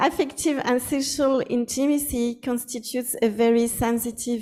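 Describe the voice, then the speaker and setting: This is a woman with a French accent. Her voice is high-pitched with a dark, mellow tone. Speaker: anthropologist. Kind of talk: academic lecture. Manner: halting, with false starts.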